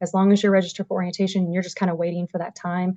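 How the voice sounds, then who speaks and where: A woman speaks very fast at a medium pitch, her tone dark and mellow. The sound is dry and close, with no echo. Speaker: university staff presenter. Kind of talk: informational presentation at a virtual event. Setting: video call.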